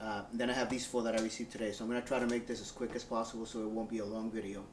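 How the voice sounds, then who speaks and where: Over noticeable background noise, a man speaks very fast at medium pitch in a Spanish accent, his intonation monotone and flat. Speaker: airline worker and model collector. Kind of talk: unboxing video, casual talk.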